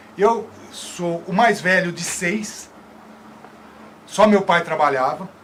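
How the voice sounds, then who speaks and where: A high-pitched male voice comes through noticeable background noise. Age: 60s. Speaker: debate panelist, former soldier. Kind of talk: live TV debate talk. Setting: TV studio, live broadcast.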